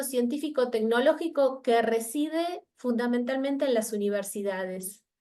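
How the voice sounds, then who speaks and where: At a moderate pace, a woman speaks with an Argentine accent. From Argentina. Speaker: researcher. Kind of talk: academic talk. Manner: halting.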